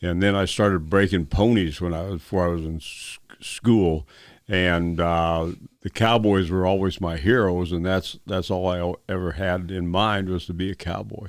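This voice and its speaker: In a western US accent, a man with a very deep, low voice talks at a moderate pace with fairly even intonation on a very clean recording with a silent background. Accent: rural western US. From Montana. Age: 80s+. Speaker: retired rodeo champion. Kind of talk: interview. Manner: halting.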